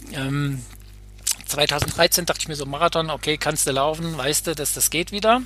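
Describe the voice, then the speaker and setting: This man talks at a moderate pace with fairly high pitch and ordinary pitch variation, over noticeable background noise. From Hesse, Germany (Bad Nauheim). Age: 50s. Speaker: sports psychologist. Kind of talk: casual interview.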